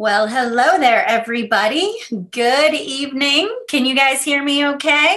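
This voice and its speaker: A raised, projected voice with a bright, sharp tone moves at a fairly slow pace amid audible room echo. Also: woman, high pitch for a woman, lively intonation. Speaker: life coach hosting a live workshop. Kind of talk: live stream talk. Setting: live video stream.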